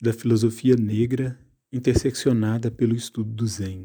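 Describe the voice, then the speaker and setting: A man talks at a medium pitch with a dark, mellow tone. The recording is very clean, with a silent background. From Minas Gerais, Brazil. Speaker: interdisciplinary artist and poet. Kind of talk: prepared statement in interview. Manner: formal.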